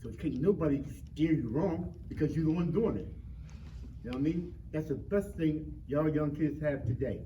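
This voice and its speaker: The delivery is animated, at a moderate pace with ordinary pitch variation. Audible room echo and noticeable background noise fill the recording. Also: man, fairly high pitch for a man. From Philadelphia, North Philly. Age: 60s. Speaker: community panelist. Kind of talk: panel discussion. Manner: animated, repetitive.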